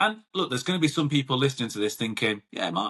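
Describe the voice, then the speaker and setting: Against a quiet background, a man speaks in a bright, sharp tone with lively intonation. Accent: British. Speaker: podcast host; grassroots football coach. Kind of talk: solo podcast talk. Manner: loud; casual, chatty.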